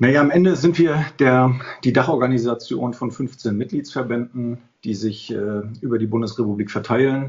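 Moderate pace and ordinary pitch variation from a man, an unremarkable speaking voice at a medium pitch. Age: 50s. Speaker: tax adviser, association president. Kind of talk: expert interview.

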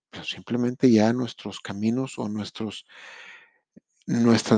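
A man's dark, mellow voice at medium pitch and moderate pace, dry and close with no echo, over a quiet background. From Monterrey, Mexico. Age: 30s. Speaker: podcast host. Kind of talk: motivational monologue. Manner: conversational.

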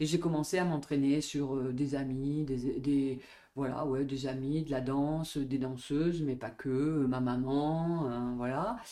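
A woman's very deep, low voice with a dark, mellow tone, very slow and fairly even in intonation, with audible room echo. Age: 50s. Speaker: dance and Pilates teacher. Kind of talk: interview conversation.

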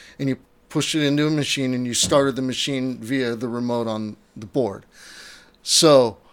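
At a fairly slow pace, a man speaks in a normal speaking voice at medium pitch with ordinary pitch variation. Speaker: church sound technician and former radio announcer. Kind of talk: casual chat.

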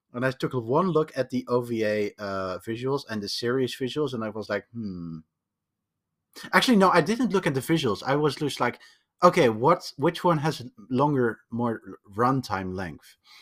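A man with a Dutch accent, in a very clean recording with a silent background. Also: medium pitch for a man, lively intonation, moderate pace. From Netherlands. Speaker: podcast guest, programmer. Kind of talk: casual chat. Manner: halting, many repetitions.

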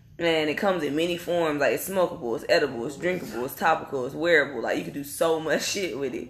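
Speaking at a very fast pace, a woman uses a very deep, low pitch with ordinary pitch variation and big swings in loudness. Noticeable background noise runs underneath. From North Carolina. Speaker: podcast host. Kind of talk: casual chat. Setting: live recording in Atlanta.

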